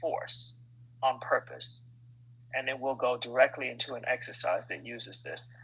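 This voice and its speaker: A man delivers his words at a moderate pace, and noticeable background noise can be heard. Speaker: movement and exercise teacher. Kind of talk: guided exercise workshop. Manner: animated.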